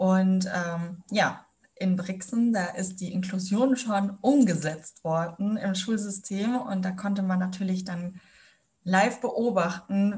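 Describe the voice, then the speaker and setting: The woman speaks at a very slow pace, at medium pitch. Her voice is somewhat breathy, with fairly even intonation. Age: 20s. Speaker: student teacher. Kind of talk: interview. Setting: video call.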